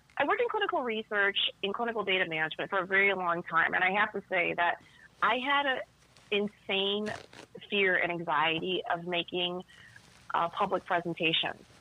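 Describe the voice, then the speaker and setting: Against noticeable background noise, a woman with an American accent speaks fairly quickly at medium pitch, with ordinary pitch variation, very even loudness and long, frequent pauses. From Chicago South Side. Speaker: tango dancer and teacher. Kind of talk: casual chat.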